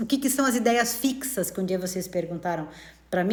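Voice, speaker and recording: The voice is somewhat breathy with a warm tone, lively intonation and a very fast pace. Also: woman. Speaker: spiritist study teacher. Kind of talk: live-streamed study talk. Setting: live stream. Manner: warm and conversational.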